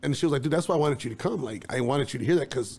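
A man with an American accent talks in a somewhat breathy voice with ordinary pitch variation. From East Chicago, Indiana. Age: 30s. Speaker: videographer. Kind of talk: casual chat.

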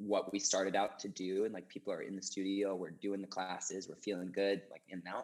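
Speaking fairly quickly with an American accent, a man holds a flat, monotone delivery at a fairly low pitch. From US Northeast, small-town Maine. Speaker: personal trainer and fitness instructor. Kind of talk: casual interview.

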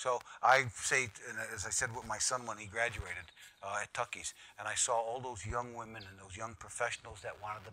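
A man has an ordinary speaking voice. His pitch is medium and his pace moderate. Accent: American. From US, inner city. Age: 60s. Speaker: financial educator. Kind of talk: casual interview.

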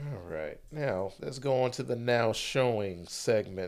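Recorded very cleanly with a silent background, a man speaks with very wide pitch swings. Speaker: podcast host. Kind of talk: casual chat. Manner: confident, smooth talker.

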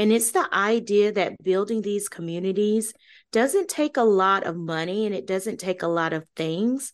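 A woman with an ordinary speaking voice talks at medium pitch and a moderate pace, with ordinary pitch variation over a quiet background. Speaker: podcast co-host. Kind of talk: podcast conversation.

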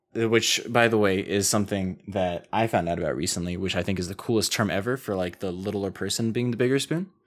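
In a plain, everyday voice, a man with fairly low pitch talks at a fairly quick pace with fairly even intonation. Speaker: podcast co-host. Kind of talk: casual banter. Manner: relaxed, joking, chatty.

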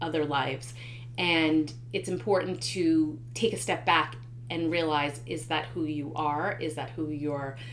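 With noticeable background noise and audible room echo, a woman speaks at a moderate pace in a very deep, low voice with ordinary pitch variation. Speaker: podcast host and author. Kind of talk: solo monologue podcast. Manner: hesitant with many fillers.

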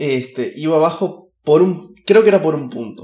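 His pitch rises and falls across a very wide range. The man talks very slowly. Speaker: podcaster. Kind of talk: casual monologue. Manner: animated; halting.

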